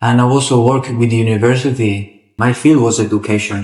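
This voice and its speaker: A man with an Italian accent talks fairly quickly at a medium pitch with fairly even intonation. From Italy. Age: 20s. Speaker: football referee. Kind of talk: interview. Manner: halting.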